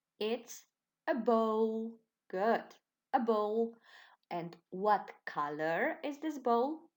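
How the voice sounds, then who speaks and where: In a Slovenian accent, a woman speaks very slowly at a fairly high pitch with lively intonation and long, frequent pauses. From Slovenia, Ilirska Bistrica. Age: 20s. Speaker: primary school teacher. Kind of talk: online lesson for children. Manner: slow, clear and encouraging.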